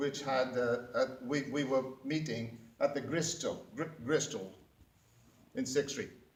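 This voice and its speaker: A man's fairly high voice with an American accent, fairly slow, with ordinary pitch variation, audible room echo and noticeable background noise. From Wales. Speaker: public speaking club member. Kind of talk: prepared speech. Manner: halting, many fillers and restarts.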